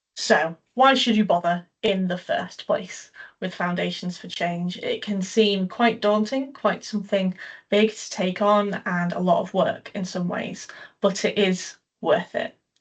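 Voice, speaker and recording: A woman's medium-pitched, somewhat breathy voice at a fairly slow pace, with ordinary pitch variation and big swings in loudness. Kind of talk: online presentation. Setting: video call.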